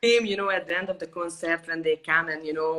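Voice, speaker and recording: A woman speaks with a Hungarian accent over noticeable background noise. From Hungary, Budapest. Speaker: violinist. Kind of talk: interview. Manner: animated.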